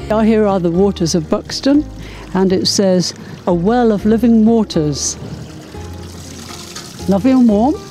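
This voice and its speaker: Faint music plays in the background as a woman speaks at a fairly slow pace. She leaves long, frequent pauses, and her loudness is very even. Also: ordinary pitch variation, dry sound with no echo. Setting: outdoors. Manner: encouraging. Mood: warm, cheerful. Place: street. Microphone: handheld.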